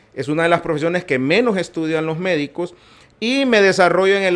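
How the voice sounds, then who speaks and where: A high-pitched man on a very clean recording with a silent background. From Honduras, Tegucigalpa. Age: 60s. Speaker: physician and politician. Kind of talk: podcast interview.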